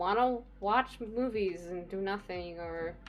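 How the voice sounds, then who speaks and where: A quiet woman's voice. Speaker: streamer. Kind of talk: casual chat.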